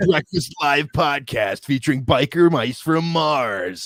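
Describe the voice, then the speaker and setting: A man's booming, put-on character voice, fairly high in pitch and fairly slow, with lively intonation. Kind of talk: radio announcer.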